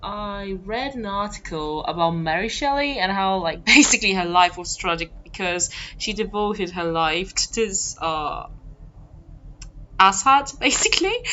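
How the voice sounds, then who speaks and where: Noticeable background noise sits behind a woman's voice. She speaks at a fairly slow pace with very wide pitch swings. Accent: non-native. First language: not English. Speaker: gamer playing a writing game. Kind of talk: casual let's play commentary. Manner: animated.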